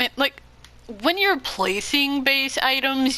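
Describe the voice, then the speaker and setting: Against noticeable background noise, a woman speaks in a raised, projected voice at a very slow pace. Her pitch is high and her intonation lively. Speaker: gamer showing game content. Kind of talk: gameplay commentary.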